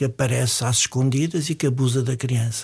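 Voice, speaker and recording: A man speaks at a medium pitch in a somewhat breathy voice, moving at a fairly quick pace. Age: 70s. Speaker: psychiatrist. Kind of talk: interview.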